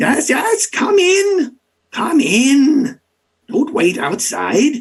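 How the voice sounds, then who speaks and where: A put-on character voice, raspy and high in pitch. It moves at a very slow pace. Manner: faint, welcoming.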